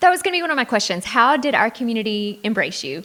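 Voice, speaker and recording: With lively intonation, a woman talks at a fairly quick pace in a fairly high pitch. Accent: Texan. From Greenville, Texas. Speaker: interview host, real estate agent. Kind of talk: interview.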